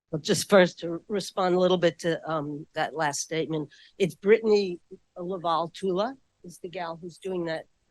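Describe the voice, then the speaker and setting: A woman speaks with a New York accent at a fairly low pitch. Her loudness swings widely in a dry, close sound with no echo. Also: moderate pace. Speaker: historian. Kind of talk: audience question at book talk.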